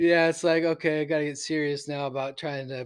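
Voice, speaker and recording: In a West Coast accent, a man talks with monotone, flat intonation. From Oregon, Portland area. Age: 40s. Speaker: hunter. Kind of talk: casual chat.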